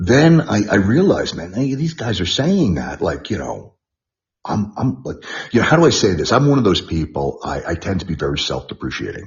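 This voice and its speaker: A man in a New York accent with vocal fry, very wide pitch swings, and a moderate pace. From New York, the Bronx. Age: 60s. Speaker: martial arts trainer. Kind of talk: interview. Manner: halting, repetitive.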